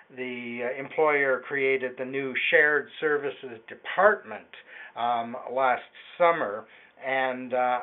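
A man speaks at a very slow pace with ordinary pitch variation. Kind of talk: answer to a caller's question. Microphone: phone line.

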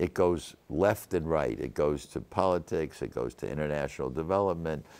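This man's pitch is very deep and low. Vocal fry runs through his speech. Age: 80s+. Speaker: venture capitalist. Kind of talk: interview answer. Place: studio. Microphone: lapel.

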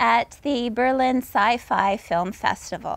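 A woman talks with ordinary pitch variation in a dry recording with no echo. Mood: warm, enthusiastic. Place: garden.

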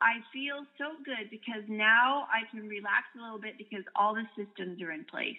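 A woman with a plain, everyday voice speaks at a moderate pace with hardly any pauses. Her pitch is fairly high with ordinary variation, while her loudness swings widely. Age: 60s. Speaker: direct sales distributor. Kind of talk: interview storytelling.

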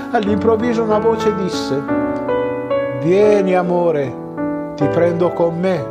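Loud music plays in the background as a man talks at a very slow pace with long, frequent pauses. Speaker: stage actor. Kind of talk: story reading. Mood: warm, expressive, smiling. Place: home room.

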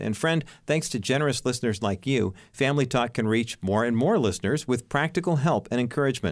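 A man with an ordinary speaking voice, medium in pitch with ordinary pitch variation, at a fairly quick pace with very even loudness, on a very clean recording with a silent background. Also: hardly any pauses. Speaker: radio announcer. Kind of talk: radio donation announcement.

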